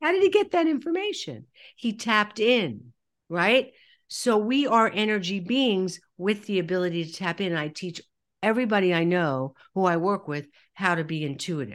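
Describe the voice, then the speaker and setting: At a moderate pace, a woman with an American accent uses a normal speaking voice at a medium pitch, recorded very cleanly against a silent background. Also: lively intonation. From New York. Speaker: soul healer and trauma counselor. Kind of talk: interview.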